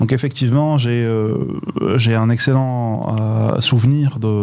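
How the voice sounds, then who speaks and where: Over noticeable background noise, a man of medium pitch talks with fairly even intonation. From Morocco, Boujdour. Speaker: digital transformation expert. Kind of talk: radio interview. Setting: radio studio in Casablanca.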